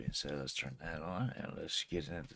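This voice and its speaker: Vocal fry runs through a man's voice as he talks at a fairly slow pace. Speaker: reaction video creator. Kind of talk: casual reaction commentary.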